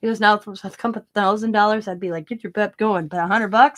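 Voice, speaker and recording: Quiet mumbling with ordinary pitch variation. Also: woman. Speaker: craft YouTuber. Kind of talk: casual live stream chat. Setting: home live stream with camera. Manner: mumbling, trails off quieter; talkative, rambling.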